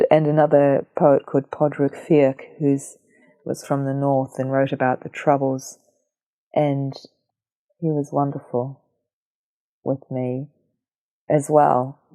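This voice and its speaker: In a New Zealand accent, a woman speaks at a fairly slow pace with long, frequent pauses, a very deep, low pitch, and monotone, flat intonation, the sound dry and close with no echo. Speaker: visual artist. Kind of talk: interview conversation. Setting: at her home.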